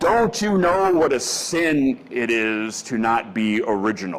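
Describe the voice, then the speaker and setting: A man does a booming, put-on character voice at a medium pitch. It moves through very wide pitch swings at a fairly slow pace. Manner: scowling, disapproving.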